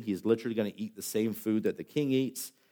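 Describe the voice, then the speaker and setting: A man speaks at a fairly quick pace and medium pitch, with ordinary pitch variation. His tone is dark and mellow, on a very clean recording with a silent background. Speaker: pastor. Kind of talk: sermon. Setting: church. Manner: fast.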